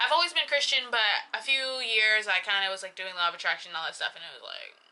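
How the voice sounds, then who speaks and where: A woman's bright, sharp, fairly high voice, animated and very fast, with lively intonation and big swings in loudness. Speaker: YouTuber. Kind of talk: casual vlog talk.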